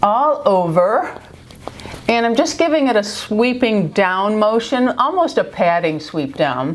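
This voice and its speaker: Noticeable background noise sits behind a woman speaking at a fairly slow pace. Her pitch swings very widely. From New York. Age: 50s. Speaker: beauty vlogger. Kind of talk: makeup tutorial talk to camera. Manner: chatty, friendly.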